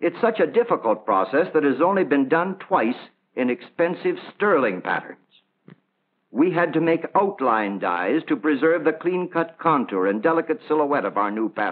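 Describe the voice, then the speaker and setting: The speaker is a man with a fairly high voice. He talks at a moderate pace. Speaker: company production executive explaining manufacturing. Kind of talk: vintage promotional film, explanatory spiel. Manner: proud, earnest, measured explanatory tone. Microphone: old recording.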